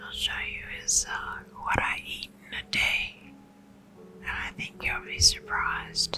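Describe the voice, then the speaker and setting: A woman whispers very slowly in a soothing tone. Her loudness swings widely over noticeable background noise. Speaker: ASMR creator. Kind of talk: ASMR whisper ramble. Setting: lo-fi home recording. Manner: whispered; soft-spoken, soothing.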